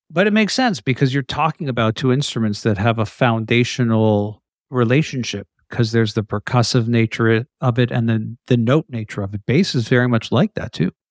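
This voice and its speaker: This man has a plain, everyday voice, pitched in the medium range with ordinary pitch variation, and he talks at a fairly quick pace. The recording is very clean with a silent background and a dry, close sound with no echo. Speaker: podcast host. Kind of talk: casual interview.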